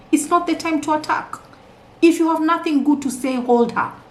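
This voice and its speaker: A woman speaks loudly in an animated tone, her pitch extremely high. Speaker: marriage and relationship coach. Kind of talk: motivational talk.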